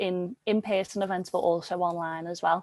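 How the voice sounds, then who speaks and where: Recorded with a dry, close sound, no echo and a quiet background, a woman with a Liverpool accent speaks at a medium pitch with fairly even intonation. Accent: Liverpool (Scouse) English. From Liverpool, England. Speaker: yoga teacher and workshop facilitator. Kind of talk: interview.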